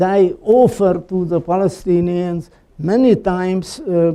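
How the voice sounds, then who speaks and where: A man speaks at a high pitch with a dark, mellow tone. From Slovakia. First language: Slovak. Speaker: Holocaust survivor and columnist. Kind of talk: talk with audience questions. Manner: halting, many fillers.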